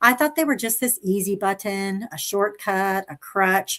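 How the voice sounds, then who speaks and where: In an enthusiastic tone, a woman talks at a moderate pace. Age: 60s. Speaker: livestream host, health professional. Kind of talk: livestream talk to viewers. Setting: live stream.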